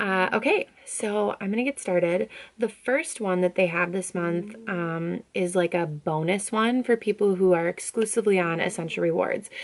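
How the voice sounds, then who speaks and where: Noticeable background noise is present throughout. Over it, a woman talks at a medium pitch. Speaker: essential oils distributor vlogger. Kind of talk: casual product vlog. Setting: home video during nap time. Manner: chatty, many fillers.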